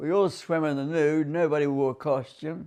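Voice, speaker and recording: Speaking with an Australian accent, a man uses a fairly high pitch for a man. His pace is fairly slow and his intonation fairly even. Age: 80s+. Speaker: war veteran. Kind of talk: interview answer.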